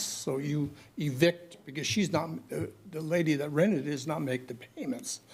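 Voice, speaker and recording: Heard with audible room echo, a man with a fairly high pitch speaks at a moderate pace and with fairly even intonation. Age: 80s+. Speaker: member of the public, retired landlord. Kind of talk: public comment. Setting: city council chamber.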